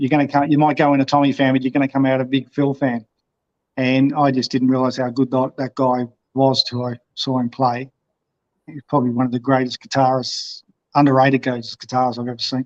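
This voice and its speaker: At a fairly quick pace, a man talks with monotone, flat intonation. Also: medium pitch for a man, dry, close sound with no echo. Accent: Australian. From Victoria, Australia. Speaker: motorcycle vlogger. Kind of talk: interview. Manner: halting.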